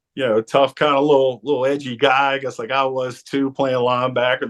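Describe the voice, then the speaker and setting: This man talks with a New Orleans accent at a medium pitch. His pace is fairly quick. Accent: New Orleans Yat. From New Orleans, Louisiana. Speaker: former football player and sportscaster. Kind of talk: interview storytelling. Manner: halting, many fillers.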